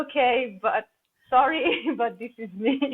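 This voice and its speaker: Speaking at a very slow pace, a woman has a Slovenian accent. Her pitch varies in an ordinary way. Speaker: holistic coach. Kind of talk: podcast interview. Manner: halting, repeats words.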